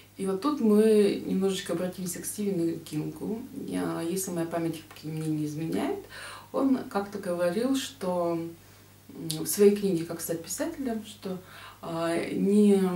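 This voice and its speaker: A woman talks at a fairly slow pace with long, frequent pauses and ordinary pitch variation, in audible room echo. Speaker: book vlogger. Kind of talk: book review vlog talk. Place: home room. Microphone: webcam.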